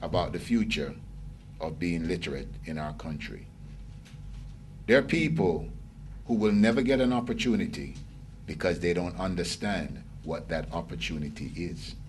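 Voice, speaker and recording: A man speaks at a moderate pace in a very deep, low voice with vocal fry. Long, frequent pauses break up his speech, and the room echo is audible. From Jamaica. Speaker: lecturer. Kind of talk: lecture. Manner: animated.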